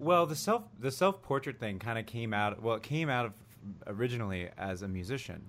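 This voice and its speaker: A man in an unremarkable speaking voice of medium pitch talks at a fairly quick pace with lively intonation. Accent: American. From US, mainly New Jersey and Cleveland. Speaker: musician and photographer. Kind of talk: casual chat.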